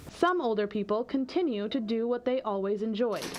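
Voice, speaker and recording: Amid noticeable background noise, a woman speaks at a high pitch and a moderate pace. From China. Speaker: student video reporter. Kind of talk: scripted narration.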